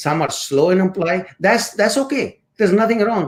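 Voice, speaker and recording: A man with an Indian accent speaks at a moderate pace. His intonation is lively. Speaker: course instructor and motivational speaker. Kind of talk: interview.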